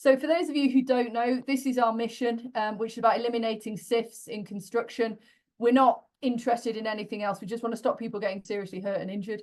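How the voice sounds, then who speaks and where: Intonation remains fairly even throughout. The delivery rushes along at a very fast pace. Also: woman, fairly high pitch for a woman. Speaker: construction safety researcher. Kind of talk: webinar presentation. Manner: casual, many filler words.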